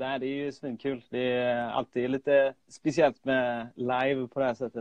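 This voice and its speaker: A man with a medium pitch speaks in a monotone, flat intonation. His pace is moderate, with hardly any pauses. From Sweden, Gothenburg. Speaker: freelance graphic designer and illustrator. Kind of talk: casual chat. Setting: remote call. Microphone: remote audio, sometimes poor.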